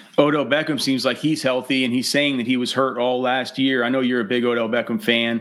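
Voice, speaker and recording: Against noticeable background noise, a man of medium pitch with an American accent talks at a fairly quick pace with fairly even intonation and hardly any pauses. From Texas. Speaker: fantasy football podcast host. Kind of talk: casual interview chat.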